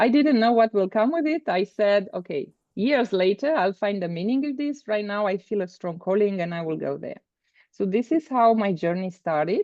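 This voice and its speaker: A woman with a Romanian accent speaks at a medium pitch with lively intonation. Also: moderate pace. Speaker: business coach. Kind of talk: interview. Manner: halting.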